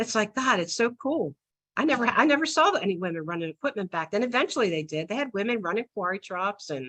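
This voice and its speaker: Very fast and dry, with a close sound and no echo, a woman speaks in a bright, sharp tone at a fairly high pitch with very wide pitch swings. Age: 60s. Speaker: retired asphalt sales professional. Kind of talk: webinar talk. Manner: hesitant, many fillers.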